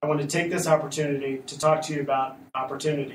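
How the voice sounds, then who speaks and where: A somewhat breathy man with an American accent talks at a fairly high pitch and a fairly quick pace. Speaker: state political party chair. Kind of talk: political party weekly podcast address.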